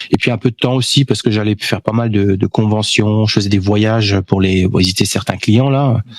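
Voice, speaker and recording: There is noticeable background noise behind a man speaking at a moderate pace. His pitch is fairly low and his loudness very even. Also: fairly even intonation, dry, close sound with no echo. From France, near German and Swiss border. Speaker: vinyl collector and YouTuber. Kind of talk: casual interview.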